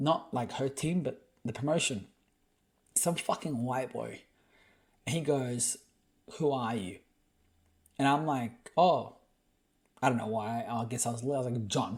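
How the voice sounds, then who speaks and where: The voice, somewhat breathy with an Australian accent, moves at a fairly slow pace with ordinary pitch variation and long, frequent pauses. The recording is very clean, with a silent background. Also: man, medium pitch for a man. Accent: clearly Australian. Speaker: podcast host. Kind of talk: casual storytelling chat. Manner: animated.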